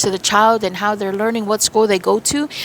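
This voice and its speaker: Over noticeable background noise, a woman speaks at a very fast pace in an animated tone. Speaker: spiritual medium. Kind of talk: channeled spiritual reading.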